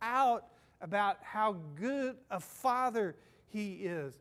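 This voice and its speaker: A man speaks with lively intonation. His voice is high in pitch. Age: 60s. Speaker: senior pastor. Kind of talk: sermon. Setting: church.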